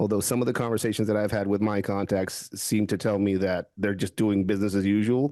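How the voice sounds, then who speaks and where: A man with a Spanish accent speaks at a moderate pace over a quiet background. His fairly low voice has a dark, mellow tone and fairly even intonation. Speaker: security expert, former police officer. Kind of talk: podcast interview. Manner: halting, many restarts.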